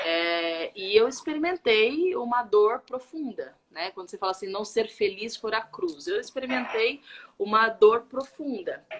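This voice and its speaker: Her pitch is fairly high, and a woman speaks at a fairly slow pace. Very wide pitch swings and big swings in loudness run through her speech. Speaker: live stream host, faith and wellbeing speaker. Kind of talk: casual live stream talk, personal testimony. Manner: lowered voice so the baby won't cry.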